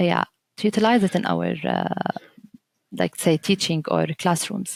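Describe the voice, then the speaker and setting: A woman speaks at a fairly slow pace with an Arabic accent. The sound is dry and close, with no echo. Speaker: teacher trainer. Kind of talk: podcast interview. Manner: halting, many fillers and restarts.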